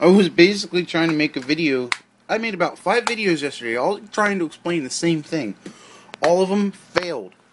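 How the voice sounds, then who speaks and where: With noticeable background noise behind him, a man with a high voice talks at a fairly quick pace and with lively intonation. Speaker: vlogger. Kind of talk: casual vlog talk to camera. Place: home room. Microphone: phone near.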